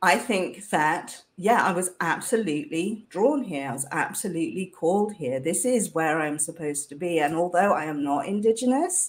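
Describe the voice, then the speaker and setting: With a British accent, a woman speaks at a fairly slow pace and a fairly low pitch. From UK. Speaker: leadership coach. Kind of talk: interview conversation.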